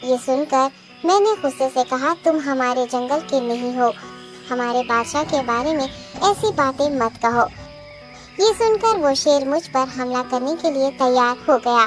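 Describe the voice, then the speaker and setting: A cartoonish, female-sounding character voice with clear music in the background. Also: moderate pace. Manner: deferential, persuasive.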